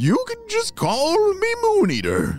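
A woman does a put-on character voice, high-pitched with very wide pitch swings and a slightly mellow tone. She speaks at a fairly slow pace as faint music plays in the background.

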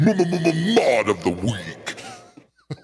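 A man in a put-on character voice, with a fairly high pitch and very wide pitch swings. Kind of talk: showy, promotional. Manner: put-on announcer voice.

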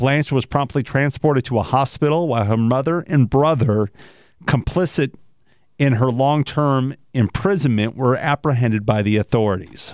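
A man speaks in a normal speaking voice at medium pitch and a moderate pace, with ordinary pitch variation and very even loudness, captured in a very clean recording with a silent background and a dry, close sound with no echo. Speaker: podcast host.

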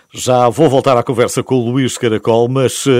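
A plain, everyday voice speaks at a fairly slow pace. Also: man. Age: 50s. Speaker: radio host. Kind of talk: interview.

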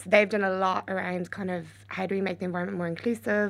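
Over noticeable background noise, a woman talks at a fairly quick pace in a medium pitch with monotone, flat intonation. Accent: Irish. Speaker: venture capital investor. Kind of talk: casual panel discussion.

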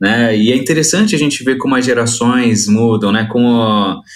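A man speaks at a moderate pace. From Brazil. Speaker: study-abroad consultancy founder. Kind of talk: interview. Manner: animated.

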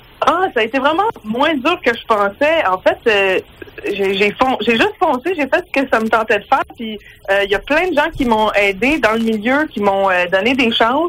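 A woman speaks in a Quebec accent. Her fairly high pitch moves in very wide swings. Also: moderate pace. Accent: Québécois French. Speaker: stand-up comedian. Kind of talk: phone interview.

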